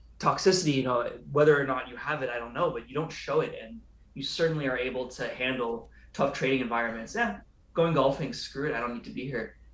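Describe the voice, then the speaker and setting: In a room with audible echo, a man with an American accent talks at a fairly quick pace and fairly high pitch, with ordinary pitch variation. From California. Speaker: day trader and show host. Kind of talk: casual chat. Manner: fast; animated.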